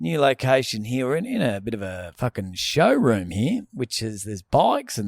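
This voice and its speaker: A man with an Australian accent, medium pitch, lively intonation and a moderate pace, in a dry, close sound with no echo. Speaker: comedy podcast co-host. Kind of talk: casual chat. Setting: corner of a showroom on a couch. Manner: mumbling.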